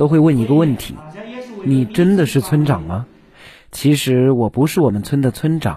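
In a very clean recording with a silent background, a man speaks in a somewhat breathy, medium-pitched voice with a dark, mellow tone. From Qujing, Yunnan, China. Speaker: rural entrepreneur and livestream seller. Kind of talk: personal testimony speech.

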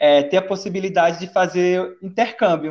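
The man's pitch varies in an ordinary way, the background behind him quiet. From Castanhal, Pará, Brazil. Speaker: former exchange student, social work. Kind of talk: casual interview.

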